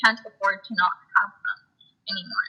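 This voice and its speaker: Bright, sharp tone from a woman, moderate in pace and ordinary in pitch variation. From South Texas (Rio Grande Valley). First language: Spanish. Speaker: student activist. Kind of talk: interview. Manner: hesitant, many fillers.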